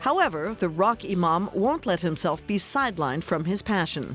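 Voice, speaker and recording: A woman with an American accent speaks at a moderate pace in a fairly low pitch, her intonation lively. Her loudness stays very even, and music plays in the background. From United States. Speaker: voice actor. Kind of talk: news narration.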